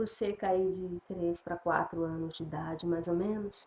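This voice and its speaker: Her voice has a dark, mellow tone. It belongs to a woman. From São Paulo, Brazil (born in Piauí, moved at 6-7). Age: 40s. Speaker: evangelical churchgoer giving testimony. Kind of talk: religious testimony. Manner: halting, many fillers and restarts.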